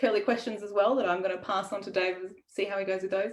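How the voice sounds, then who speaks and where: With an Australian accent, a woman talks at a very fast pace using lively intonation. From Australia (Melbourne). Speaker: writer and event host. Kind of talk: livestreamed author interview, casual pre-show chat. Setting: online live video stream. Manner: casual with frequent fillers (um).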